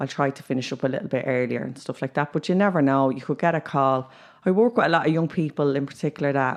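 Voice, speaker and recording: In a Dublin accent, a woman with a very deep, low pitch speaks at a very fast pace with ordinary pitch variation over a quiet background. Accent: Dublin Irish. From Ireland, Dublin (Ballymun). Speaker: youth worker. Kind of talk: casual chat.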